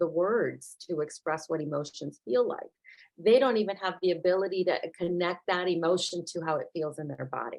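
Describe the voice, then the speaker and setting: A woman at a moderate pace. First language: Spanish. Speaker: therapist working with children. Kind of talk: casual chat. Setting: video call.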